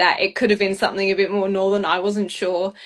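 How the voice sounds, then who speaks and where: A woman with an Australian accent talks at a very fast pace. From Perth, Western Australia. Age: 20s. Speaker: beauty pageant finalist. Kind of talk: casual interview chat. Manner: animated.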